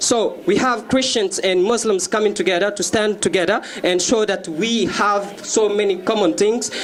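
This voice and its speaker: Over noticeable background noise, a man with a French accent speaks at a moderate pace and a high pitch. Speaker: author and youth activist. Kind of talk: contest pitch presentation. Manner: halting, many fillers.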